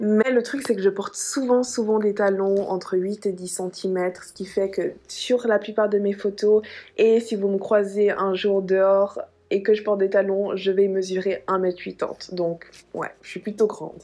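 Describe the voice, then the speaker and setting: Her dark, mellow voice stays monotone and flat as this woman speaks at a fairly slow pace. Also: medium pitch for a woman, big swings in loudness. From Dominican Republic, Santo Domingo, until age five. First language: Spanish (speaking French). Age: 20s. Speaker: lifestyle vlogger. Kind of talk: casual chat to camera. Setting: hotel room. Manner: chatty, with filler hesitations.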